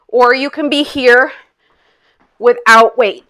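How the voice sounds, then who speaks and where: A woman speaks in a high pitch with a bright, sharp tone and an upbeat, energetic delivery. The background is quiet. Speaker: fitness instructor. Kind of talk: guided exercise class. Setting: online video class. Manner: upbeat, energetic, coaching in short commands; counts aloud and paces reps with timing cues. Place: home room.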